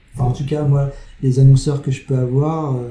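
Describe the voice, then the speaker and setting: A man talks at a medium pitch in a flat, monotone way. There is noticeable background noise. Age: 40s. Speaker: advertising creative. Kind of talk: interview. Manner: halting.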